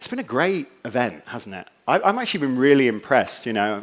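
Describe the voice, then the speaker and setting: Speaking at a fairly quick pace, a man with an American accent uses lively intonation at a medium pitch. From England. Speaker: conference keynote speaker. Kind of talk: conference keynote talk. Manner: humorous, conversational with fillers.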